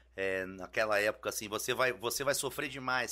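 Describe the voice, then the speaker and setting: A man's bright, sharp tone, fairly quick pace and ordinary pitch variation. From Brasília, Brazil (born in Rio). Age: 40s. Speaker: musician, band singer. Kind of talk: casual podcast chat.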